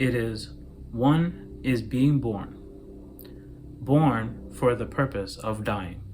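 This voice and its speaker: Somewhat breathy and very slow, a man speaks at a medium pitch with ordinary pitch variation and long, frequent pauses. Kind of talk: philosophical monologue to camera. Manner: slow, clear enunciation.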